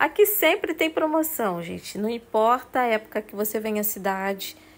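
A woman's pitch swings very widely. She talks at a moderate pace. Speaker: shopping vlogger and store reviewer. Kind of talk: street seller pitchman, upbeat product showcase with prices and calls to buy. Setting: walking through a store, handheld video. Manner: repeats "olha, gente" to steer attention. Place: shop. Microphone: phone near.

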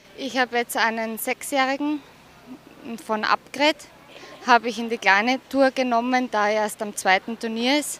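A high-pitched woman's voice with an Austrian accent, fairly even intonation and a moderate pace, broken by long, frequent pauses, dry with no echo over light background noise. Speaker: show jumping rider. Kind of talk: sports interview. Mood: cheerful, pleased. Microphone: handheld.

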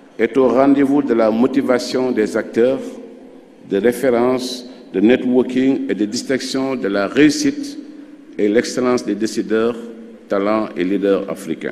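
A man talks at a fairly slow pace. He takes long, frequent pauses. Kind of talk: formal ceremonial speech. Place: hall. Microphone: podium.

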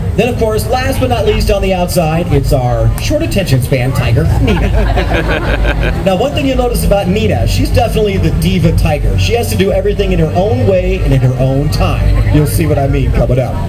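Fairly quick speech with crowd noise in the background. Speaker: show announcer. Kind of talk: live show commentary. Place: stadium. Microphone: pa.

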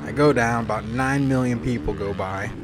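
A man talks at a medium pitch. Noticeable background noise is heard behind him. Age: 20s. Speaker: motocross racer and YouTuber. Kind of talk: video voiceover narration. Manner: animated.

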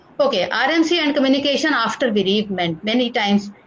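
A woman with an Indian accent talks at a very fast pace with lively intonation and a fairly high pitch. Noticeable background noise is present. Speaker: nursing professor. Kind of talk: lecture. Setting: video call.

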